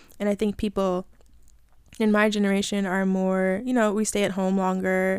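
The voice has a dark, mellow tone and a flat, monotone delivery at a fairly quick pace. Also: woman, very clean recording, silent background. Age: 20s. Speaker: podcast host. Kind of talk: casual solo monologue. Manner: casual, filler-heavy.

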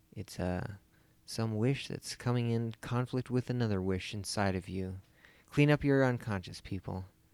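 On a very clean recording with a silent background, a man in a plain, everyday voice talks at a moderate pace with ordinary pitch variation. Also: medium pitch for a man. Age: 30s. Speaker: film podcast co-host. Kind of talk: casual chat.

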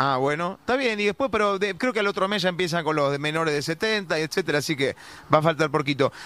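A man with a high pitch talks at a very fast pace in a bright, sharp, animated tone, his intonation lively and his loudness very even. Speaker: radio host. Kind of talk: radio interview.

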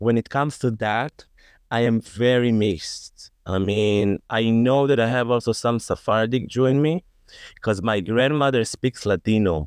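In an Israeli accent, a man talks at a fairly slow pace with medium pitch, ordinary pitch variation and very even loudness. The sound is dry and close with no echo, against a quiet background. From Israel, Tel Aviv and Jaffa. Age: 30s. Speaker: digital marketer, podcast guest. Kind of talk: panel discussion.

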